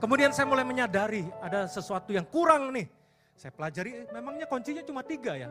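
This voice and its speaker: A man talking at a very fast pace with very wide pitch swings over music in the background. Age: 50s. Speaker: pastor. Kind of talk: sermon. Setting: church.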